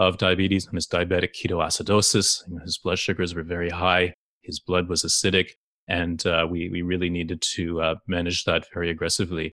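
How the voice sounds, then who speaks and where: Against a quiet background, a man with a Canadian accent talks at a fairly quick pace in a very deep, low voice with a bright, sharp tone and monotone, flat intonation. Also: dry, close sound with no echo. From Canada, Toronto. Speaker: endocrinologist. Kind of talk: interview.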